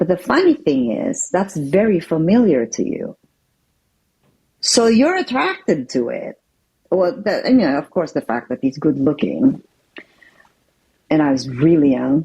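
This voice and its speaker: A woman with a fairly low, somewhat breathy, dark and mellow voice speaks at a fairly slow pace, her pitch swinging very widely between long, frequent pauses. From Philippines. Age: 60s. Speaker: interview guest sharing life story. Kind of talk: testimony.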